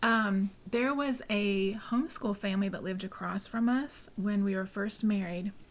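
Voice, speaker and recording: Soft-spoken, a woman talks at a medium pitch and moderate pace with fairly even intonation. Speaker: homeschool group co-founder. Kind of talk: casual podcast interview. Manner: quiet, soft-spoken.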